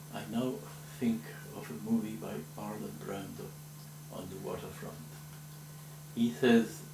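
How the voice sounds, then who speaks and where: The pitch swings very widely, with audible room echo and noticeable background noise. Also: man. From Spain. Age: 70s. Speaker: memoir narrator. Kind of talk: recorded autobiographical interview. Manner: reflective.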